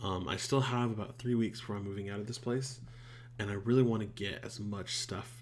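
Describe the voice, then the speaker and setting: Audible room echo surrounds a man speaking at a fairly quick pace and a medium pitch. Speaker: YouTuber reacting to shows. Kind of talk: casual channel update. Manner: halting, many fillers.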